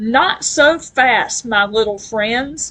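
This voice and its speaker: The speaker growls in a put-on character voice. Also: woman. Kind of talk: theatrical. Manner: snarling, villainous.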